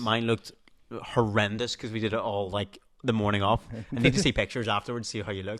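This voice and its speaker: A man talks at a very fast pace with medium pitch and fairly even intonation. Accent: Northern Irish. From Northern Ireland. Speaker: TV presenter. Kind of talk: podcast interview answer. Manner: casual, chatty.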